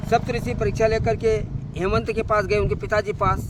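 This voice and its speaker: A man talks at a medium tempo. Clearly audible background noise accompanies him. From India, Madhya Pradesh (Khargone district, Nimar region). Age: 60s. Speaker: pilgrim on foot. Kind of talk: storytelling.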